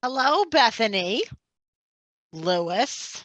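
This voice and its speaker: A man uses a put-on character voice at an extremely high pitch. His pitch swings very widely. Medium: stage play. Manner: gruff, cranky, cussing.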